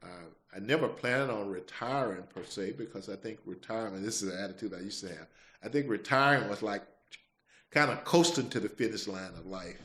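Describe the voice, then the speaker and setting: Bright and sharp in tone, a speaker with a Mississippi accent moves at a fairly quick pace, with lively intonation and big swings in loudness. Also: man, fairly low pitch for a man. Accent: Southern US (Mississippi). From US South. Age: 60s. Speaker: podcast host. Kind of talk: testimony. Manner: halting.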